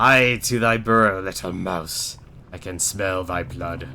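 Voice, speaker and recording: Over clear background noise, a man uses a booming put-on character voice, very deep and low in pitch, at a fairly slow pace. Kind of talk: archaic. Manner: menacing.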